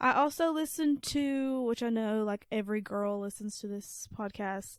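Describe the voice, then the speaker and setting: A woman in a strong Southern US accent, fairly high in pitch with ordinary pitch variation, at a moderate pace, with a very clean recording and silent background. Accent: thick Southern. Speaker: podcast co-host. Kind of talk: casual chat.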